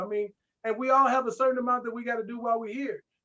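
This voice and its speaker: Raised and projected, this man's voice sits extremely high in pitch, bright and sharp, with an animated tone. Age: 60s. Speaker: martial arts grandmaster and actor. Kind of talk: casual interview chat.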